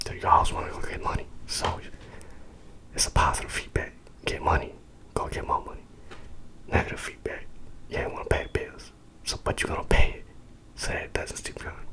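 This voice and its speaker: A man whispers fairly quickly while noticeable background noise carries on. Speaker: ASMR sleep-learning channel host. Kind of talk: educational ASMR lecture for sleep, reading a textbook. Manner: casual, conversational.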